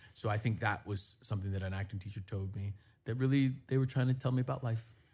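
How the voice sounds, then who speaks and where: Very fast and somewhat breathy, a man talks at a medium pitch with fairly even intonation in a very clean recording with a silent background. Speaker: actor. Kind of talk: interview. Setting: live stream.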